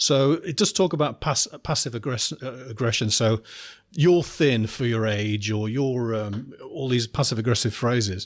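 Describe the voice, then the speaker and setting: Delivered at a moderate pace with ordinary pitch variation, the voice has an English accent and comes through a very clean recording with a silent background. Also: man, medium pitch for a man. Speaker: podcast host. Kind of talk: podcast interview. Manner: halting.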